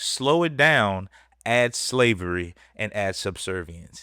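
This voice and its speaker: With an American accent, a man talks in a bright, sharp tone and lively intonation on a very clean recording with a silent background. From Texas, Dallas. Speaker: podcast host. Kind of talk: casual podcast commentary.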